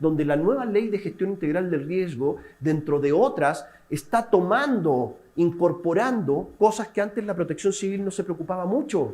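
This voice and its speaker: With hardly any pauses, a man talks in a high voice with a dark, mellow tone. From Chile. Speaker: civil protection specialist lecturing at a museum seminar. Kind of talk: lecture. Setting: seminar room with live and remote audience. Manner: interactive, questions to the audience.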